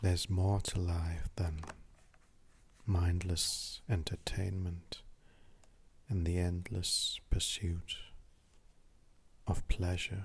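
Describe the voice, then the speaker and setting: In a calm, soothing tone, a man with a very deep, low pitch speaks somewhat breathily at a very slow pace, with fairly even intonation and long, frequent pauses. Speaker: artist and mindfulness talker. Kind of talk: mindfulness talk, ASMR. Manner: slow, calm, soothing.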